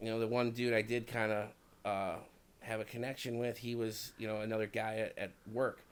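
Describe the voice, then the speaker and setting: A man with a Chicago accent talks at a fairly quick pace in a medium pitch, his intonation monotone and flat. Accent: Chicago accent, can't hide it. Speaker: podcast co-host. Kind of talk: casual chat. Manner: many fillers (um, you know).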